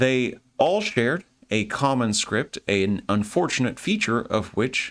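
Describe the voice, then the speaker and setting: A man with an American accent speaks at a medium pitch, with very wide pitch swings and vocal fry, on a very clean recording with a silent background. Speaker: history lecturer. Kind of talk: lecture. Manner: casual, conversational.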